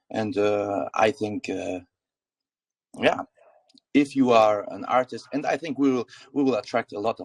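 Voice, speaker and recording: A man talks with a slight German accent. The sound is dry and close, with no echo. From Germany. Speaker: crypto project founder. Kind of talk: AMA panel discussion. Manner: halting, many fillers.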